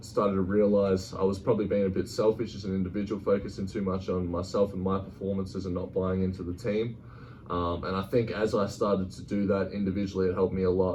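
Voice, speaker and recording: With an Australian accent, a man speaks at a fairly quick pace in a very deep, low pitch and monotone, flat intonation, with audible room echo. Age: 20s. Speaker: college basketball player. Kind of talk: interview.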